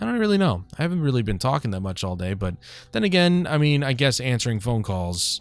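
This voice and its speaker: Music plays in the background as a man talks at a very fast pace. His medium pitch moves in very wide swings. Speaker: gaming streamer. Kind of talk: casual gameplay commentary. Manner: casual and conversational.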